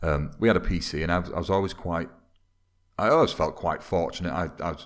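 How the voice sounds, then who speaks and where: Speaking at a fairly quick pace, a man with a Mancunian accent has a very deep, low pitch. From Manchester, northern England. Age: 30s. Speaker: football video game YouTuber. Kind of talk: casual podcast interview.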